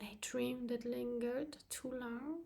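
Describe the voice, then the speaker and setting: A woman's high, very slow voice with a non-native accent, a dark, mellow tone and fairly even intonation. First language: not English. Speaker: channel host, abuse survivor. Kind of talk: personal vlog monologue, partly reading a script. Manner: halting with frequent fillers.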